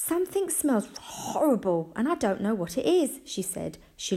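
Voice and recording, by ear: Someone reads the text aloud in a natural voice.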